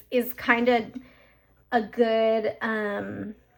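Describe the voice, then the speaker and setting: Noticeable background noise accompanies a woman whose voice sits fairly high. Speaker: planner vlogger. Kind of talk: casual talk to camera while crafting. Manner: a little hyper.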